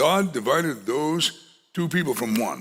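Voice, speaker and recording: A man speaks in a raised, projected voice with a bright, sharp tone and lively intonation. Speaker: pastor. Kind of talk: sermon. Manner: loud.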